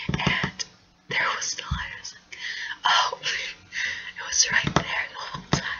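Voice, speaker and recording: A whispering voice goes at a fairly slow pace with noticeable background noise around it. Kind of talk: ASMR video talk. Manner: whispered.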